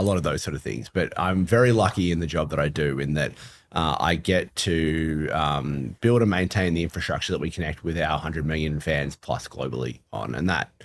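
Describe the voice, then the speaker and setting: A man with an Australian accent speaks at a fairly quick pace with hardly any pauses, his very deep, low pitch showing vocal fry and ordinary pitch variation. The recording is very clean, with a silent background. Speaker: football club technology executive. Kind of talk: podcast interview. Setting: live event venue.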